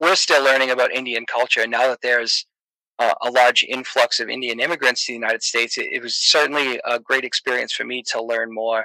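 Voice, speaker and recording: A man with an American accent talks at a very fast pace in a bright, sharp tone, his intonation monotone and flat, the sound dry and close with no echo. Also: medium pitch for a man. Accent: Boston accent, toned down. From Boston, Massachusetts. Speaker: comedian and podcaster. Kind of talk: casual chat. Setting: online voice chat. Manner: hesitant, many fillers.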